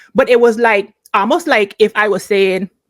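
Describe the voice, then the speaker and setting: With an American accent, a woman speaks in an animated tone at a moderate pace. Her fairly high voice has lively intonation. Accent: Virgin Islands accent, switches to it here. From US Virgin Islands. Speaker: podcast host. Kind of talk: casual commentary monologue.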